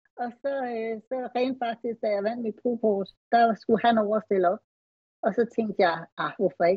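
Speaking at a fairly slow pace in a normal speaking voice, a woman uses ordinary pitch variation at a fairly high pitch. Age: 40s. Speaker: retired bodybuilding athlete. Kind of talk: casual interview.

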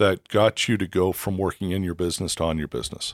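In a very clean, dry, close recording with a silent background and no echo, a man with an unremarkable speaking voice talks in a fairly low register with ordinary pitch variation. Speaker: podcast host. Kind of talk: casual interview. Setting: in person, Bozeman.

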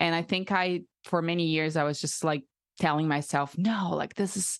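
A woman with a Portuguese accent speaks against a quiet background. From Brazil. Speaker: breathwork facilitator. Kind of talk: interview.

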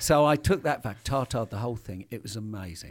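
On a very clean recording with a silent background, a man with a British accent speaks with ordinary pitch variation. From Britain. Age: 50s. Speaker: hunting equipment company founder. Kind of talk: casual chat. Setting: studio.

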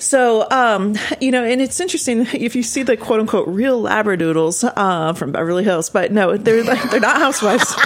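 A woman with an American accent speaks at a fairly quick pace in a fairly high voice, her intonation lively over noticeable background noise. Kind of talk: casual interview chat. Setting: studio.

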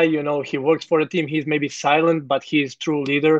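With a Croatian accent, a man talks in a fairly high pitch. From Croatia, Zagreb. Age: 30s. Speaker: professional football goalkeeper. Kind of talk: interview. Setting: video call from hotel room. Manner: halting.

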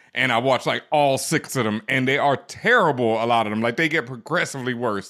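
Speaking at a fairly quick pace with hardly any pauses, a man with an American accent has a medium pitch, ordinary pitch variation, and a bright, sharp tone. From Houston, Texas. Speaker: podcast host, DJ and screenwriter. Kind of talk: casual chat.

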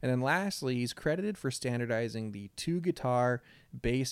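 Here a man at a medium pitch talks at a moderate pace with lively intonation. There is a very clean recording and a silent background. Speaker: podcast host. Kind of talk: casual chat. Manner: natural tone, not read-sounding.

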